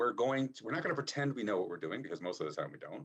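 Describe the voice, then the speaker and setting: A man with an American accent speaks with lively intonation and vocal fry. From United States. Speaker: rehabilitation expert, keynote speaker. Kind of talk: conference keynote. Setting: video call to conference. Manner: fast; casual, humorous.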